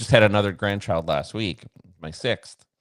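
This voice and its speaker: A man with an ordinary speaking voice and a fairly low pitch talks with ordinary pitch variation in a very clean recording, silent in the background, with a dry, close sound and no echo. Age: 60s. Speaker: bitcoin mining company founder. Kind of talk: interview.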